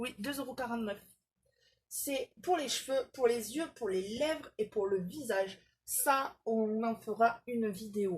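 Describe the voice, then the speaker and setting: Woman at a very slow pace, fairly high pitch, ordinary pitch variation. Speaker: beauty vlogger. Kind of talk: product haul video. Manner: hesitant, many fillers.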